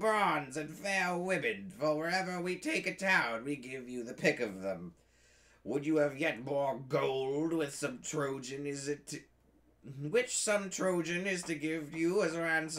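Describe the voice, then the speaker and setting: A man puts on a squeaky, shrill character voice at a fairly high pitch with lively intonation. He speaks at a fairly slow pace. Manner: abusive, angry, bawling.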